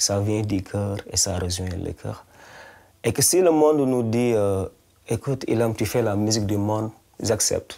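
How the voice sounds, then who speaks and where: With a Senegalese accent, a man speaks at a fairly slow pace and a fairly low pitch. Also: ordinary pitch variation, big swings in loudness. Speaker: singer-songwriter. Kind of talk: interview. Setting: studio-shop interview. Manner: halting, repeats words.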